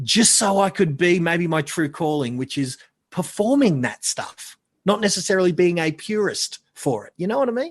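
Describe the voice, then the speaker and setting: Loud and high-pitched, a man speaks with lively intonation at a moderate pace. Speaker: marketing consultant. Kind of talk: casual chat.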